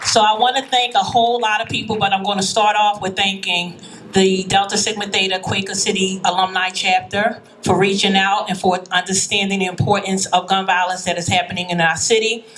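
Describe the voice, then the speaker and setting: A woman of medium pitch with a Philadelphia accent, flat and monotone, music playing behind her. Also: fairly quick pace. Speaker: high school principal. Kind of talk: rally speech. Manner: loud.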